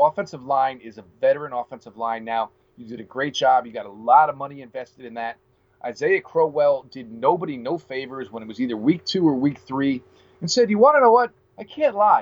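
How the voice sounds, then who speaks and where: Using a plain, everyday voice, a man talks at a fairly quick pace, fairly high in pitch, with lively intonation and big swings in loudness. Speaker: sports podcast host. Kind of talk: casual sports talk interview. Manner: frequent filler words.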